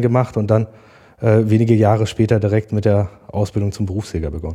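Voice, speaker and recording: A man's voice of medium pitch carries a dark, mellow tone and moves at a fairly quick pace. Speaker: farmer and hunter. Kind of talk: podcast interview. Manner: passionate.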